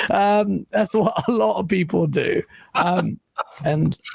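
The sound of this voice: Vocal fry runs through this man's voice, which has a slightly mellow tone.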